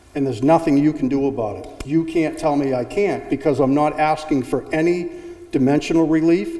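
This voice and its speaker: Over noticeable background noise and audible room echo, a man talks fairly quickly at a fairly high pitch with ordinary pitch variation. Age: 60s. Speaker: zoning applicant, homeowner. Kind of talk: public hearing testimony. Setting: town hall public meeting.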